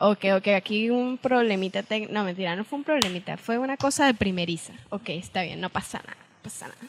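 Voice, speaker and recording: At a fairly quick pace, a woman with a medium pitch and ordinary pitch variation speaks, her loudness swinging widely. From Venezuela, San Cristóbal (Andean). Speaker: podcast co-host. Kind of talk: casual chat.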